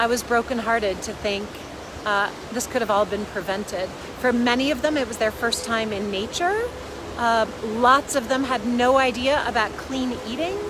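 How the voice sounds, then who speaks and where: A woman speaks at a fairly high pitch with ordinary pitch variation. Background noise is noticeable. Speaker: parenting coach. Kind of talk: casual vlog talk. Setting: outdoors by a river. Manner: loud.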